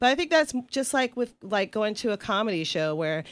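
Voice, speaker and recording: A woman's voice with very wide pitch swings, in a very clean recording with a silent background. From US South, Atlanta, Georgia. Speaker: burlesque performer. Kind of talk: interview. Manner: halting, with frequent fillers and restarts.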